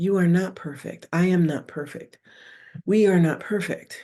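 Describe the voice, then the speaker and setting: A somewhat breathy woman's voice, dark and mellow, at a medium pitch. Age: 60s. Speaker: spiritual podcast host. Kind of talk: casual spiritual talk. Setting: video podcast.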